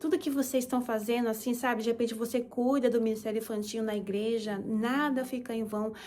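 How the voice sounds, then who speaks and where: Speaking at a fairly quick pace, a woman keeps a fairly high pitch and fairly even intonation. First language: Japanese (speaking Portuguese). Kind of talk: testimony.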